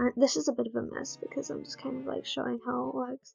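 A soft-spoken voice with faint music in the background. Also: woman. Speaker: digital artist. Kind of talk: art tutorial voiceover. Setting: low-quality microphone.

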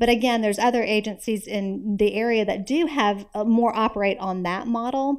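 Against a quiet background, the speaker keeps a moderate pace with hardly any pauses and fairly even intonation. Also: woman, fairly high pitch for a woman. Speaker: nonprofit executive; guest. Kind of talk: personal testimony talk; lecture talk with personal story. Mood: warm, personal.

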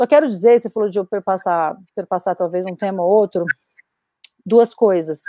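In a dry sound with no echo, a woman with a dark, mellow tone speaks at a medium pitch and moderate pace, using ordinary pitch variation. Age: 30s. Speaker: actress and feminist activist; actress panelist. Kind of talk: panel discussion. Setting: video call. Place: home room.

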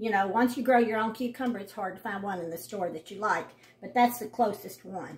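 A somewhat breathy woman's voice over light background noise. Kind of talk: casual vlog chat. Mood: warm, homely. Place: kitchen. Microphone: phone near.

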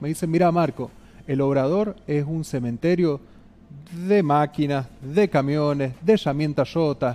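An unremarkable speaking voice from a man, fairly high in pitch, with ordinary pitch variation and a fairly slow pace. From Argentina, San Juan (Rawson); Argentina. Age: 30s. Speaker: mayoral candidate; candidate. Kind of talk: interview. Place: studio. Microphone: headset.

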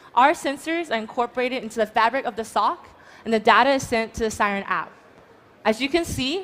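A woman talks at a fairly quick pace in a fairly high pitch, with ordinary pitch variation. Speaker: startup founder pitching. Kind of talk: startup pitch and Q&A. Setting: stage with audience. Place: stage. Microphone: headset.

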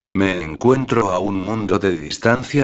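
This man has a very deep, low pitch and talks at a fairly slow pace. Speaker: narrator. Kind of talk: dramatic horror narration, first-person creepypasta read aloud. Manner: slow, suspenseful, brooding.

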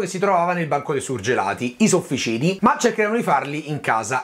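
A man talks at a very fast pace. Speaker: cooking show host. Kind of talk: casual cooking vlog chat. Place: kitchen.

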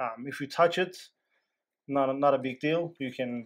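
A man speaks at a fairly slow pace, his pitch shifting in an ordinary way. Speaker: technician demonstrating equipment. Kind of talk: tutorial. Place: office. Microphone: phone near.

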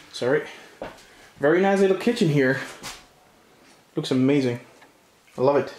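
Room echo is audible. Light background noise sits behind it. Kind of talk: casual exploration commentary. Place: home room. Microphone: phone near.

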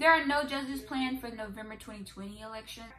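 Light background noise sits behind the speaker. She is a woman with a high-pitched voice. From Alabama. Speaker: YouTuber. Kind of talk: voting information explainer. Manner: casual, animated. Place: home room. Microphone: phone near.

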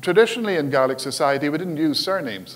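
A man with a Scottish Highland accent talks at a moderate pace with lively intonation. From Scotland, Highlands. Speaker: Gaelic language educator and karate instructor. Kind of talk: conference presentation. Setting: stage with audience. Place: hall.

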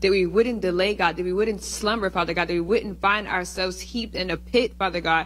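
Hardly pausing, a woman talks at a fairly quick pace. Her tone is intense. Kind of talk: fervent prayer of spiritual warfare; spoken prayer. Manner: earnest, intense, repeating 'Father God'. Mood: earnest, fervent. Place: church. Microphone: handheld.

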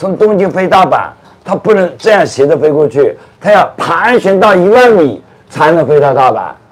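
A man at a moderate pace, his pitch swinging very widely, over noticeable background noise. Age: 60s. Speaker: tour guide. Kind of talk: casual chat. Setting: outdoors.

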